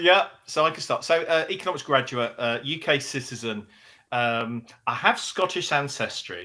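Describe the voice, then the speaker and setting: A man with a fairly high pitch, bright, sharp tone and lively intonation, at a moderate pace with an English accent, against a quiet background. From English Midlands. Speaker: business executive. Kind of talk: interview. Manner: energetic.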